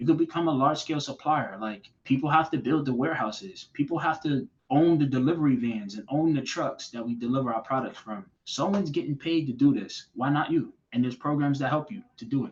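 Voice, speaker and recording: A somewhat breathy man's voice with an American accent, fairly high in pitch, with ordinary pitch variation. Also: fairly quick pace, hardly any pauses. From Boston, Massachusetts. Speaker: finance manager. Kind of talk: podcast interview answer.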